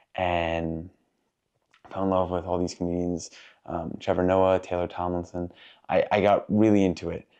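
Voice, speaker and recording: Against a quiet background, a man with very deep, low pitch speaks at a moderate pace in a monotone, flat intonation with a dark, mellow tone. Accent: American. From New York. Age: young. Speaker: student and stand-up comedian. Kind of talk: interview.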